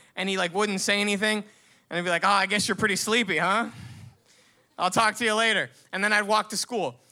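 In a raised, projected voice, a man speaks at a very fast pace with a high pitch and a bright, sharp tone. Long, frequent pauses break it up on a very clean recording with a silent background. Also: fairly even intonation. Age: 20s. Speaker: storyteller. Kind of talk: storytelling. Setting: stage with audience.

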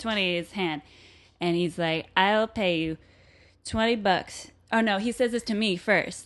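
With music in the background, a woman with an American accent speaks at medium pitch and a moderate pace, with ordinary pitch variation. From Vermont, US. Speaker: bartender. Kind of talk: casual chat. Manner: animated.

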